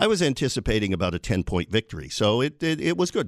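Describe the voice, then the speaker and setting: A man with an American accent and an ordinary speaking voice talks at a fairly quick pace with lively intonation, the recording very clean with a silent background and a dry, close sound with no echo. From New York State, Binghamton area. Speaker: state legislator. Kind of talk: radio interview. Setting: radio studio.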